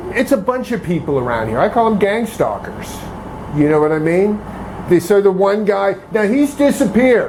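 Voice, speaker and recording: A man with a high pitch talks at a moderate pace using lively intonation, with noticeable background noise behind him. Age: 60s. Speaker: harassment complainant. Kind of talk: casual chat. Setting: at home. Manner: halting.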